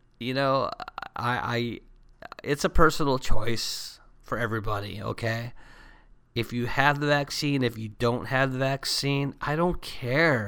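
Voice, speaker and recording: Recorded very cleanly against a silent background, a man speaks at a medium pitch with ordinary pitch variation and a fairly slow pace. His voice carries a bright, sharp tone alongside a warm, tired one. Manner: warm, easygoing, casual, affectionate with listeners; congested, sick-sounding, a bit tired.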